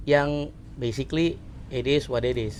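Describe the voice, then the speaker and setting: A man is speaking. His pitch sits at a medium level. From Indonesia, Pesawaran, Lampung. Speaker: podcast co-host. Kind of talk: casual chat.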